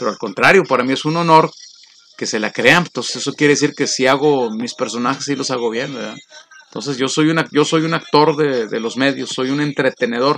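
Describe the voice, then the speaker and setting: A man delivers his words at a fairly quick pace, his pitch varying in an ordinary way, while noticeable background noise persists. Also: medium pitch for a man. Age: 50s. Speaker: radio announcer. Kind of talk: casual chat.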